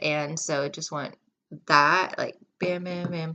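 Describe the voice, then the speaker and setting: This is a woman speaking. She has a West Coast US accent. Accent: General American, West Coast. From US West Coast, California and Washington. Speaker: vlogger. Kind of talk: storytelling. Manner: casual, filler-heavy.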